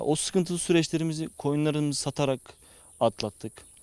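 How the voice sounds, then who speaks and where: Against a quiet background, a man talks at a moderate pace with a dry, close sound and no echo. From Zonguldak, Turkey. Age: 20s. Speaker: young farmer. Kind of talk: interview. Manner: hesitant, many fillers.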